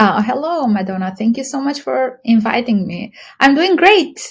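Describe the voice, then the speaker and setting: A woman with an Albanian accent speaks at a moderate pace in a high pitch with very wide pitch swings. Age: 30s. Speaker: university professor. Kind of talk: podcast interview.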